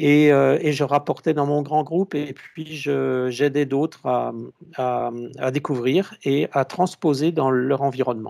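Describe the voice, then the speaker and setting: This man has a fairly high pitch and a dark, mellow tone, with fairly even intonation at a fairly slow pace. The recording is very clean, with a silent background. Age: 60s. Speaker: consultant and author, conference speaker. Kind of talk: conference talk. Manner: halting, many hesitations.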